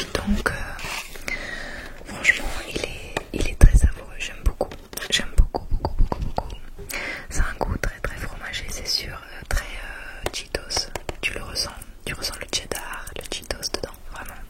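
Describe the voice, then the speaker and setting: Whispering at a very slow pace, with long, frequent pauses, big swings in loudness and noticeable background noise. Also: woman. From England. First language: English (speaking French). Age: 30s. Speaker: ASMR creator. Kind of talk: ASMR show and tell.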